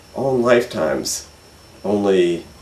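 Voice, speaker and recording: There is audible room echo around this man's voice. He speaks at a fairly slow pace. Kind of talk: interview answer. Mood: calm, reflective. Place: home room.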